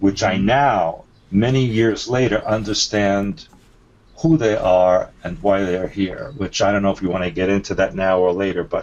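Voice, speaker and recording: Speaking at a moderate pace with a non-native accent, a man uses a fairly low pitch and ordinary pitch variation. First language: not English. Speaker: alien abduction experiencer and author. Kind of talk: interview. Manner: halting.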